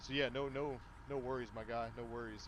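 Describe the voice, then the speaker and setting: A man speaks at a fairly quick pace in a room with audible echo. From Kentucky. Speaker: gaming livestreamer. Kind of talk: live gameplay commentary. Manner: casual, conversational.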